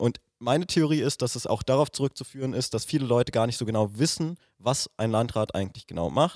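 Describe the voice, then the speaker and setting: An ordinary speaking voice at a fairly quick pace with hardly any pauses and ordinary pitch variation, in a very clean, dry, close recording with no echo and a silent background. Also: man, medium pitch for a man. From Germany, Oranienburg. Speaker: podcast host, youth party member. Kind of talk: interview.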